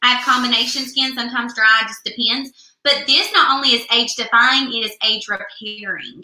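Speaking with a Southern US accent, a woman at high pitch talks at a moderate pace with hardly any pauses, and audible room echo sits over a quiet background. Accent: US South. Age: 20s. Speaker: beauty product consultant; beauty product consultant host. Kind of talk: live product demo; live sales demo chat. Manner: animated. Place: home room. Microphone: webcam.

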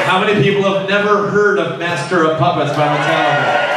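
Over crowd noise in the background, a man speaks with audible room echo. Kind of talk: stage banter with audience. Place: bar. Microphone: pa.

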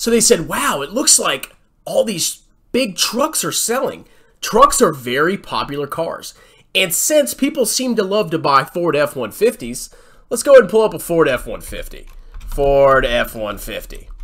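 A man speaks at a moderate pace against a quiet background. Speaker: finance commentator. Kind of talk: mocking screen-share commentary. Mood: sarcastic, mocking.

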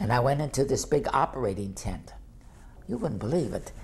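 With vocal fry and a slightly mellow tone, a man talks at a fairly quick pace through big pitch swings. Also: medium pitch for a man.

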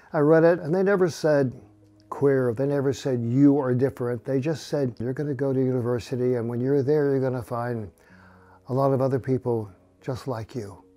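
A man at a fairly quick pace with faint music in the background. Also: ordinary pitch variation. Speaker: interviewee. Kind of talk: interview answer. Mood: reflective, calm. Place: home room. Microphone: lapel.

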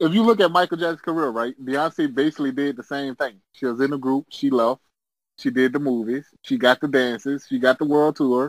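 A man with an American accent uses a normal speaking voice, fairly high in pitch with ordinary variation, at a fairly quick pace in a dry, close sound with no echo. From US South. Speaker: podcast co-host. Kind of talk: casual chat.

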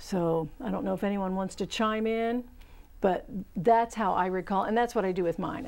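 Her pace is moderate. The woman's pitch moves up and down in a typical way. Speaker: horticulture instructor and show host. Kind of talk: call-in gardening show. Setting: studio. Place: studio. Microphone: lapel.

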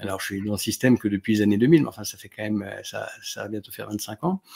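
The background stays quiet. Over it, a man talks. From France, Grenoble (Alps); France. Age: 40s. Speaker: neurologist; interview guest. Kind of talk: casual chat. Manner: halting. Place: home room.

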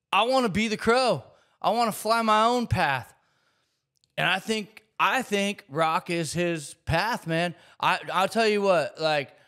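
Projecting his voice over a quiet background, a man speaks fairly slowly in a bright, sharp tone with ordinary pitch variation. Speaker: music reaction creator. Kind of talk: casual reaction commentary. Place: studio. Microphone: studio mic.

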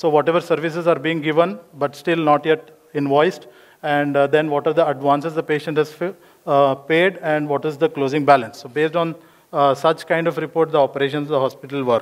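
Against a quiet background, a man speaks fairly quickly in a monotone, flat intonation. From India. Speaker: software consultant; conference presenter. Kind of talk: conference talk. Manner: hesitant, many fillers. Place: hall. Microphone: podium.

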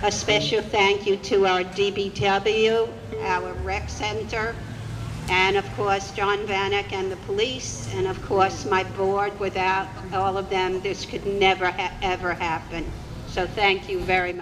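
Amid noticeable background noise, a woman talks at a fairly slow pace with fairly even intonation. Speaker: event organizer host. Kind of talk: public announcements. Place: open country. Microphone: handheld.

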